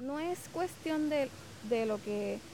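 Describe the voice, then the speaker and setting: A woman speaking at a fairly slow pace. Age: 40s. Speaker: correctional officer. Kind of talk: interview. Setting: outdoors.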